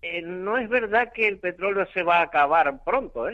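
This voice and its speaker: With lively intonation, a man talks fairly slowly. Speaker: caller, hospital lab technician. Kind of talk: phone-in call. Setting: phone call.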